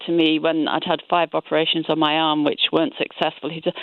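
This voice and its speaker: A plain, everyday voice from a woman, fairly low in pitch, at a moderate pace. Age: 60s. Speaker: caller. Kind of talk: radio phone-in call.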